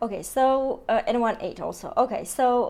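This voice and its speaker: A woman with a non-native accent speaks very slowly in a high voice. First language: not English. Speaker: tarot and Lenormand card reader. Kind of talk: astrology card reading. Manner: hesitant, many fillers.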